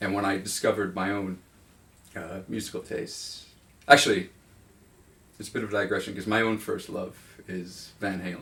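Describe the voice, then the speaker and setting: With a North American accent, a man talks in a plain, everyday voice at a fairly low pitch and a fairly quick pace. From suburban US. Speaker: music writer being interviewed. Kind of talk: interview. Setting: filmed interview in a room.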